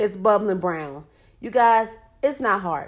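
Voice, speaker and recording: The speaker is a woman with an American accent. She uses lively intonation. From Norfolk, Virginia, US. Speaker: podcast host. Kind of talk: casual solo monologue. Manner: animated.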